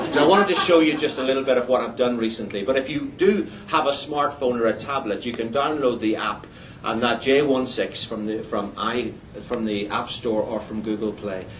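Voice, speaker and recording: Ordinary pitch variation at a fairly quick pace, with audible room echo and noticeable background noise. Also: man, medium pitch for a man. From Ireland, border area, later Northern Ireland. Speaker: missionary preacher. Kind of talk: testimony. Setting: church. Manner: halting, repeats words.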